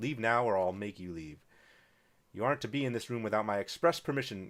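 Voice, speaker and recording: A man speaks in a gruff, put-on character voice, fairly low in pitch and at a fairly quick pace. The recording is very clean, with a silent background. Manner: gruff, stern.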